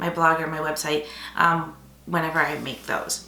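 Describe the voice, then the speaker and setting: Audible echo from the room, plus noticeable background noise. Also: woman. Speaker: paper crafting YouTuber. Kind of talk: casual vlog talk to camera. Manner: rambling with fillers.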